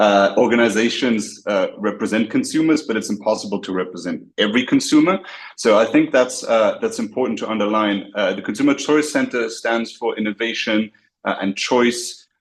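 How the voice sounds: A man speaks at a fairly low pitch with a slightly husky edge. His pitch variation is ordinary.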